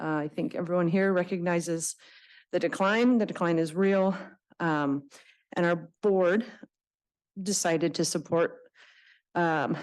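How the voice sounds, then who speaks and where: A woman's shaky voice holds a very even loudness, with long, frequent pauses over a quiet background. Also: fairly low pitch for a woman, ordinary pitch variation, fairly slow pace. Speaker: nonprofit representative testifying at public hearing. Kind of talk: public testimony. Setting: public board meeting room. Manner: shaky, hesitant with many fillers.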